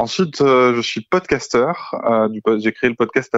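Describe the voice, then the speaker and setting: A man's voice sits at a medium pitch. It shows ordinary pitch variation. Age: 30s. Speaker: podcaster, author and therapist. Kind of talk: podcast interview. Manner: hesitant with fillers.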